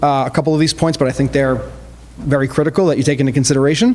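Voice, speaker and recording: Amid noticeable background noise, a man with a fairly high pitch speaks with fairly even intonation. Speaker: car wash owner speaking at public hearing. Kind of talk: public comment at council hearing. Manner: fast.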